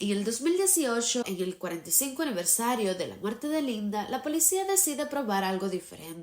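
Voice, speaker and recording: Over noticeable background noise, a woman speaks at a fairly quick pace with hardly any pauses, her fairly high pitch making very wide swings. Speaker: true crime narrator. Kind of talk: true crime narration to camera.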